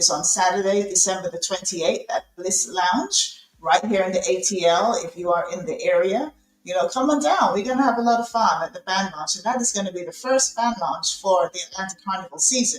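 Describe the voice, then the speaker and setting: Speaking with a British accent, a woman sounds animated, with lively intonation and a medium pitch. Her pace is fairly quick. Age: middle-aged. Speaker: podcast host. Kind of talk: live interview show host talk. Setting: live video call studio show. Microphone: technical sound issues.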